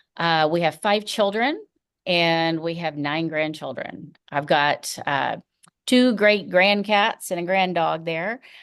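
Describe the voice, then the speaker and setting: Fairly low female voice with a slight Tennessee accent, very slow, with ordinary pitch variation, over a quiet background. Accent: slight Tennessee Southern. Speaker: first grade teacher. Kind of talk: school welcome presentation to parents. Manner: casual, frequent fillers um and uh.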